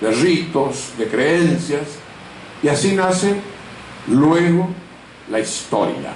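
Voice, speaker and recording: A man speaks with audible room echo. Noticeable background noise can be heard. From Argentina, Corrientes. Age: 70s. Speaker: author and law professor. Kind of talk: interview with students, talk. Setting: school library with student audience. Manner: formal.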